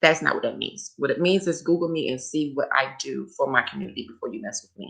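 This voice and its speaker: A woman speaks at a very fast pace with big swings in loudness. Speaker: livestreamer. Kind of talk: casual livestream talk. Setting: live stream.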